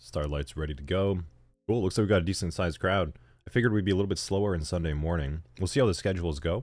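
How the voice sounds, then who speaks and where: A man with a very deep, low pitch and ordinary pitch variation talks at a very fast pace on a very clean recording with a silent background. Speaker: cybersecurity instructor. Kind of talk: live-streamed lecture. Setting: live stream. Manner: casual, chatty.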